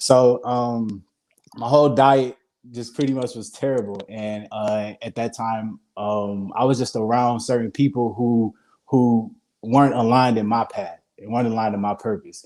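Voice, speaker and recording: A man with a Mississippi accent, a dark, mellow tone, a medium pitch and fairly even intonation. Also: moderate pace. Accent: Southern US, Mississippi. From US South, Hattiesburg, Mississippi. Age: 20s. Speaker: vegan chef. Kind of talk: interview. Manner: halting.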